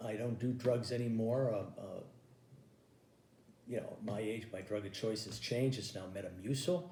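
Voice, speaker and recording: Somewhat breathy and dark, mellow in tone, a man speaks with ordinary pitch variation and long, frequent pauses amid audible room echo. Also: medium pitch for a man, moderate pace. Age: 60s. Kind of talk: stand-up. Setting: home recording.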